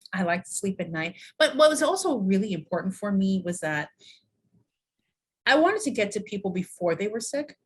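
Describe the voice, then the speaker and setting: A woman speaks fairly quickly in an American accent, her pitch swinging very widely. Her voice is somewhat breathy, with long, frequent pauses. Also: medium pitch for a woman. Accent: slight New York accent, comes out at times. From New York. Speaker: university dean and wellness expert. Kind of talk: podcast interview.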